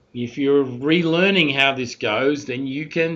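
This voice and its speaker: In an Australian accent, a man talks at a medium pitch. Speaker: university statistics instructor. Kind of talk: recorded lecture. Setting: recorded talking over slides.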